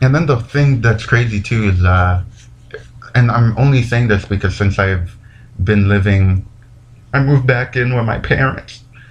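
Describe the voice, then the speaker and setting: A man with a medium-pitched voice talks at a moderate pace with ordinary pitch variation and very even loudness, broken by long, frequent pauses over noticeable background noise. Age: 20s. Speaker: podcast host. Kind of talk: casual monologue. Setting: home recording.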